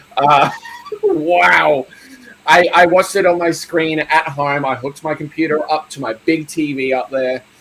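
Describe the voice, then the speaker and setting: Music plays in the background as a man speaks with an Australian accent. His pitch is fairly high, his pace moderate and his intonation fairly even. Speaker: horror film youtuber. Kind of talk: casual chat. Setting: live stream.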